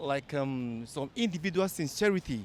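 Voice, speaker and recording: This man has a normal speaking voice. His medium pitch shows ordinary variation. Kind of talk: vox pop interview answer.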